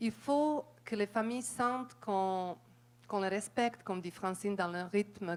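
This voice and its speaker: A woman speaks with a non-native accent at a medium pitch. Her pace is fairly slow and her pitch variation ordinary. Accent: foreign accent in French. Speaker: audience member, community worker. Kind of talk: audience question, spontaneous remarks.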